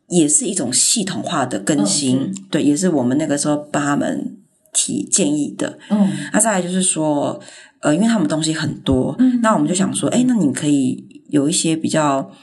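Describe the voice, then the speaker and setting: A woman's very deep, low voice with vocal fry and very wide pitch swings, at a moderate pace, with audible room echo. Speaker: graphic designer. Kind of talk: casual interview.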